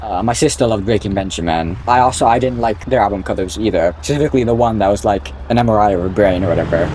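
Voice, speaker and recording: Noticeable background noise sits under the voice. The words come at a very fast pace. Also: man. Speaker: gaming YouTuber. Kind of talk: gameplay commentary. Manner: casual, rambling with fillers; sudden loud exclamations.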